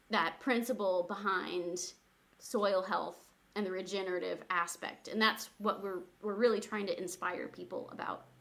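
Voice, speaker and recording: A woman with an American accent speaks in an unremarkable speaking voice at medium pitch and a moderate pace, her intonation fairly even. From Missouri, Springfield. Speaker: community garden organization staff. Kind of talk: podcast interview.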